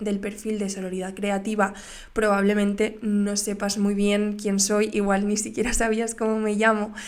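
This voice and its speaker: A woman with a fairly high pitch speaks at a fairly slow pace in a monotone, flat intonation. Audible room echo surrounds her voice. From Valencia, Spain. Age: 20s. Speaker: podcast host, graphic designer. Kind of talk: casual monologue. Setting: home studio, on camera. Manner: hesitant, many fillers.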